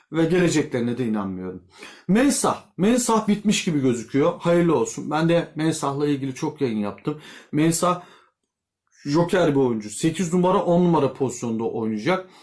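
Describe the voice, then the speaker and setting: A man's voice with very wide pitch swings and very even loudness. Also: fairly high pitch for a man, moderate pace. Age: 40s. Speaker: YouTube football commentator. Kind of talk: casual vlog commentary. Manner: conversational, with filler hesitations.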